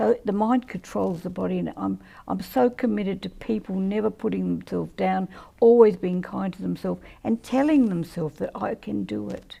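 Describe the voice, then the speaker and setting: An Australian accent at a moderate pace, in a very clean recording with a silent background. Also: woman. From South Australia, country town. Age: 70s. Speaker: mayor. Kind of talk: interview. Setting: live podcast.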